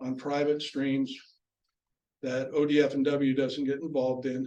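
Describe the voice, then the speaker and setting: This man has an ordinary speaking voice, pitched fairly high. He talks with an American accent. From Southern California. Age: 60s. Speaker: retired police officer and rancher, fly fisher. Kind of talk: club presentation. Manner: casual, with frequent fillers.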